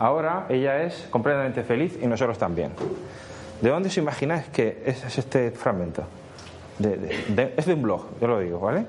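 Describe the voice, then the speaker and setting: A man's medium-pitched voice with very wide pitch swings, audible room echo and noticeable background noise. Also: moderate pace. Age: 40s. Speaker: social media consultant. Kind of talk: conference talk.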